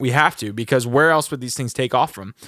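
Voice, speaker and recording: A man's fairly high, bright and sharp voice with an American accent and ordinary pitch variation, on a very clean recording with a silent background and a dry, close sound without echo. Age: 20s. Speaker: podcast co-host. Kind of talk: casual chat.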